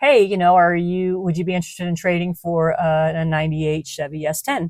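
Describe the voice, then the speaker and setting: A plain, everyday voice from a woman, fairly low-pitched, with ordinary pitch variation. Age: 50s. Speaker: artist. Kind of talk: casual talk to camera.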